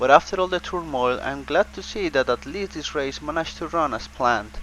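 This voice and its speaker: A man with a non-native accent, fairly high in pitch and bright, sharp in tone, at a fairly quick pace, with ordinary pitch variation and big swings in loudness. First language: not English. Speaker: race commentator (amateur, for a simulated racing series). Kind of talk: sports commentary on a motor race. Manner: hesitant, with occasional fillers and self-corrections.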